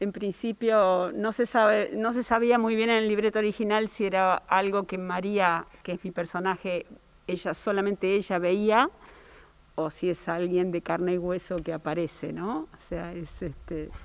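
In a normal speaking voice, a woman of medium pitch talks fairly slowly with fairly even intonation. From Río Cuarto, Córdoba, Argentina; Córdoba, Argentina. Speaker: opera singer; actress in the play. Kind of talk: interview. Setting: theatre during rehearsal. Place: stage. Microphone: handheld.

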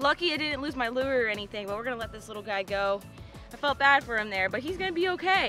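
A high-pitched woman at a very fast pace, dry sound with no echo, faint music in the background. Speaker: fishing vlogger. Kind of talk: casual vlog chat. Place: boat. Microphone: phone near.

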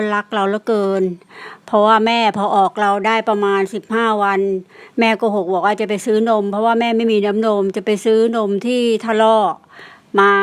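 This woman has a fairly high pitch and a monotone, flat intonation. Her loudness stays very even. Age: old. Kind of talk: personal ghost story told to listeners.

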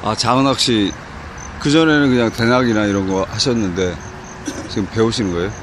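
Delivered at a fairly quick pace with long, frequent pauses and ordinary pitch variation, the speech has a dry sound with no echo over noticeable background noise. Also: man. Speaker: fishing channel interviewer. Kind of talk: field interview questions. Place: waterside. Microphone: phone near.

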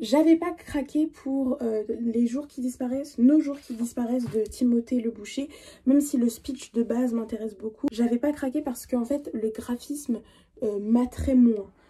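At a fairly slow pace, a woman with high pitch and a dark, mellow tone speaks with ordinary pitch variation. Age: 20s. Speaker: book youtuber. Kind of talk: casual vlog talk.

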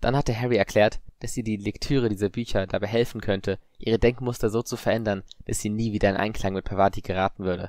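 Someone is reading aloud in a natural voice. The words come out as read text.

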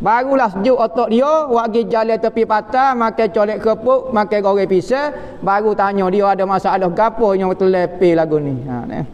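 A man with a Kelantan accent speaks at a high pitch. He hardly pauses at all. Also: ordinary pitch variation, moderate pace. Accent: Kelantanese Malay. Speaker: Islamic religious teacher. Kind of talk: religious lecture on a classical text. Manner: casual, colloquial teaching style.

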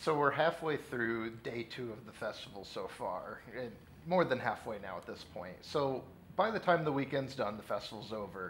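In a normal speaking voice, a man of medium pitch speaks with lively intonation and big swings in loudness. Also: moderate pace. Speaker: interviewer. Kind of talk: interview. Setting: on location at event.

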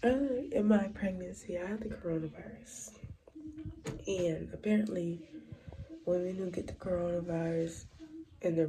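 A woman's fairly low voice, long and frequent pauses, noticeable background noise. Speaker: vlogger. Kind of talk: casual vlog. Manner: soft-spoken. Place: bathroom. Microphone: phone near.

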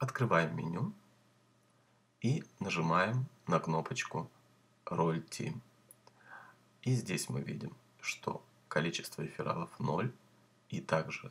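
A man at a very slow pace, with long, frequent pauses and very wide pitch swings. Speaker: YouTuber promoting crypto earning schemes. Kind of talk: sales pitch, screen-share tutorial. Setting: screen recording with voiceover. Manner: brisk, upbeat pitchman, step-by-step instructions; salesy, repeatedly urges viewers to subscribe and like.

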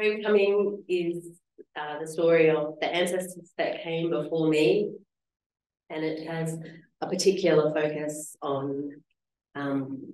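A soft-spoken woman talks at a fairly slow pace with a low pitch and ordinary pitch variation. Her tone is slightly mellow, and audible room echo surrounds her.

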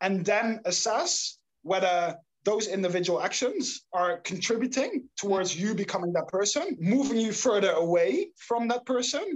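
This voice carries a Dutch accent. It moves at a moderate pace. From Netherlands. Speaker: startup founder, habit coach. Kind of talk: interview. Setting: remote call.

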